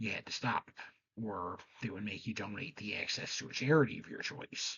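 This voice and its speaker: A soft-spoken man talks at a fairly quick pace. His pitch sits fairly low. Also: ordinary pitch variation. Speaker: game show history presenter. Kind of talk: scripted commentary.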